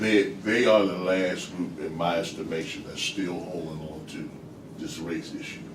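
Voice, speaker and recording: A man speaks in a very deep, low pitch with audible room echo. Noticeable background noise is present. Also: ordinary pitch variation, moderate pace, big swings in loudness. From United States. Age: 60s. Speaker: discussion participant. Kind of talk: group discussion. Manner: halting, repetitive.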